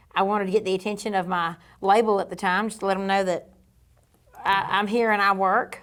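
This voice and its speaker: A woman speaks in a Georgia accent. Her pace is very fast. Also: medium pitch for a woman. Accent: Southern (Georgia). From US South, Georgia (near Savannah). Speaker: country singer and cooking show host. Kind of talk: interview conversation. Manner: animated.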